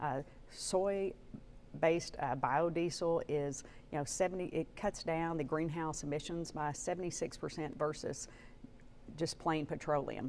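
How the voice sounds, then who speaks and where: The delivery is fairly slow, and the intonation stays fairly even. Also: woman, very deep, low pitch for a woman. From Arkansas, Batesville. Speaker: politician. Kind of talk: TV interview.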